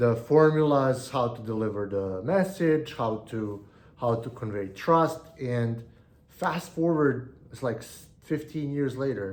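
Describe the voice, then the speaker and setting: A man with a non-native accent speaks at a fairly slow pace and medium pitch. His loudness swings widely, and audible room echo is present. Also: lively intonation. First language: not English. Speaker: online business educator. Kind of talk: solo video monologue. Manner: halting, frequent repetitions and fillers.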